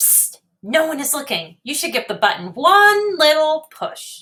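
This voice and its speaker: Putting on a character voice, a woman speaks in a high pitch at a moderate pace. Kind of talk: bedtime story. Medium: read story. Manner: playful, chatty.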